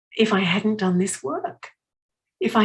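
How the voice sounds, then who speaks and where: At a fairly slow pace, a woman speaks in a somewhat breathy voice with a fairly high pitch. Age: 60s. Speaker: motivational speaker. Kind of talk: inspirational talk at a retreat.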